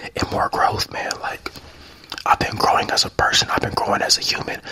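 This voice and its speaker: A man whispering in a relaxed tone at a moderate pace. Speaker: ASMR creator. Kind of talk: casual ramble to camera. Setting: studio, drinking tea. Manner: soft-spoken, relaxed. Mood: reflective, positive. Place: home room. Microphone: handheld.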